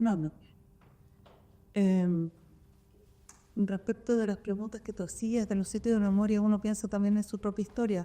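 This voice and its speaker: A woman speaks fairly slowly at a fairly high pitch, keeping her intonation fairly even. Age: 60s. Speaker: kindergarten director. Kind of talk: panel discussion. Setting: public library event with audience. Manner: halting.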